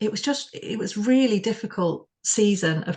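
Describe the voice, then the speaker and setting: With a West Yorkshire accent, a woman speaks at a fairly slow pace and sounds somewhat breathy. The background is quiet. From Bradford, UK. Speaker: spoken word performance artist. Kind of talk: interview answer.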